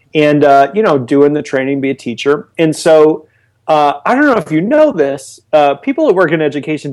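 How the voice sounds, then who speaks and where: The recording is very clean with a silent background. A man talks in an ordinary speaking voice at a fairly high pitch, with ordinary pitch variation and a moderate pace. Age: 30s. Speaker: online lead generation marketer. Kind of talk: casual interview.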